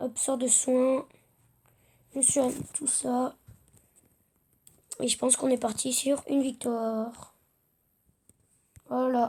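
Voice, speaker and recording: Very slowly and with long, frequent pauses, a woman speaks in a high pitch with a dark, mellow tone and monotone, flat intonation. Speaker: gaming youtuber. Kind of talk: gameplay commentary. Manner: hesitant, many fillers.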